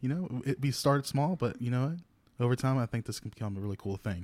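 The recording is very clean with a silent background. A man speaks with a Louisiana accent and ordinary pitch variation. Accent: Southern US (Louisiana). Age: 20s. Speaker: podcast co-host, church youth singer. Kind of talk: casual chat. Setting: studio.

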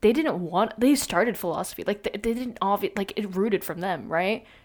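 A woman speaks at a fairly quick pace with a medium pitch and lively intonation. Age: young. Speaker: college student podcast host. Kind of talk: casual monologue. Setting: home recording on laptop. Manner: talkative, rambling.

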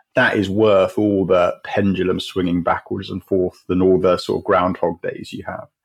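Here a man speaks with an English accent. His pace is moderate. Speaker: charity chief executive. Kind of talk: interview.

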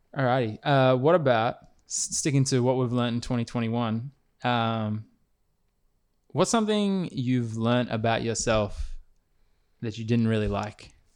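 Moderate pace from a man at medium pitch, long and frequent pauses, ordinary pitch variation, on a very clean recording with a silent background. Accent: Australian. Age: 20s. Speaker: podcast host and basketball player. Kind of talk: casual chat. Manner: halting.

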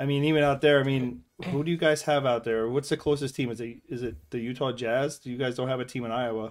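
Barely pausing at all, a man at a medium pitch races along at a very fast pace with fairly even intonation. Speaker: podcast co-host. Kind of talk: casual chat.

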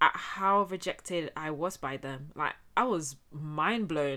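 Speaking at a fairly slow pace, a woman with a bright, sharp tone and ordinary pitch variation is heard on a very clean recording with a silent background. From Spain, Getafe (Madrid area). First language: Spanish. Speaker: podcast host. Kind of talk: personal testimony monologue. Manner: casual, conversational.

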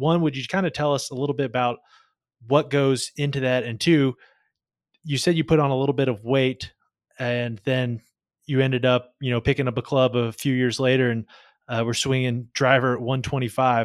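This man has a normal speaking voice, a medium pitch and fairly even intonation, speaking at a moderate pace. The recording is very clean with a silent background and a dry, close sound with no echo. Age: 20s. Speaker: golf podcast host. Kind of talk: podcast interview.

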